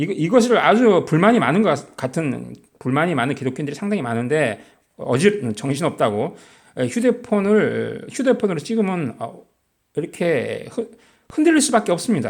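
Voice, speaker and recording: A man speaks with a high pitch and very wide pitch swings. His pace is moderate. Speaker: lay preacher on video channel. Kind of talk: sermon-style bible teaching. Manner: halting.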